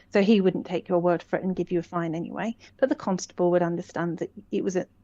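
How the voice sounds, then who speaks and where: At a very fast pace, the speech has a dark, mellow tone and a dry, close sound with no echo. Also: woman, fairly low pitch for a woman, ordinary pitch variation. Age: 60s. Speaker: common law educator. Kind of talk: interview. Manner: halting.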